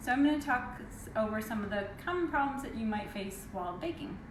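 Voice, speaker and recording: Amid audible room echo and noticeable background noise, a soft-spoken woman talks fairly quickly, her fairly high pitch carrying lively intonation. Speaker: baking instructor. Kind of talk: live tutorial.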